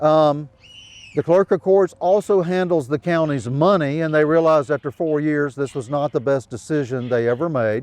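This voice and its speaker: A man's plain, everyday voice at a fairly high pitch, moderate in pace, with ordinary pitch variation. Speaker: historian and author. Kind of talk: storytelling to a live audience. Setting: outdoors.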